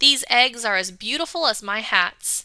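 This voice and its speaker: A raspy, put-on character voice from a woman, fairly high in pitch, with lively intonation at a moderate pace. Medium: read story. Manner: gruff, weighty.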